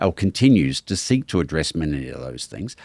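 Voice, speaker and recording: Vocal fry marks a man's fairly quick speech in an Australian accent. The recording is very clean, dry and close, with a silent background and no echo. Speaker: museum president. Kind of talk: podcast interview.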